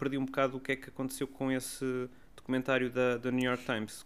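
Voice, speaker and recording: A man talks at a very fast pace with a European Portuguese accent. His medium-pitched voice stays monotone, with flat intonation. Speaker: culture podcast co-host. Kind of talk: casual chat.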